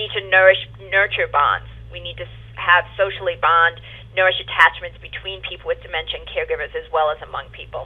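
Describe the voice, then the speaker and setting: A woman with a New York accent talks at a fairly quick pace. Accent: New York accent, still noticeable. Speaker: home care operations director. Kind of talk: webinar presentation. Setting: webinar.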